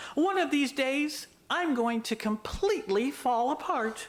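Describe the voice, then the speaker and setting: A put-on character voice, female-sounding and high-pitched, at a fairly slow pace. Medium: read story.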